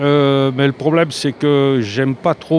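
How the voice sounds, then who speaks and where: Noticeable background noise surrounds a man speaking. He talks at a fairly slow pace with a medium pitch. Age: 70s. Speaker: passer-by in street interview. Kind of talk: street interview. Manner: hesitant, many fillers.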